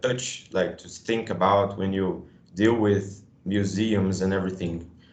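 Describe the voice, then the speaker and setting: The voice carries a Brazilian Portuguese accent, and audible echo fills the room. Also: man. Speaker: museum educator. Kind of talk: workshop discussion. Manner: halting.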